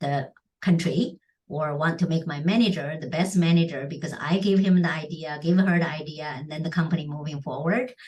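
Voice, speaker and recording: A woman speaks in a fairly low, somewhat breathy voice with ordinary pitch variation. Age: 60s. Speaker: charity founder and entrepreneur. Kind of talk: interview conversation.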